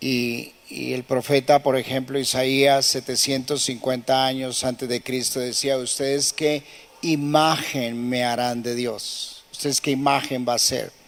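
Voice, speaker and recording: Over noticeable background noise, a man at medium pitch talks fairly slowly in a flat monotone, with hardly any pauses. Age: 80s+. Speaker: pastor. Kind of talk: sermon.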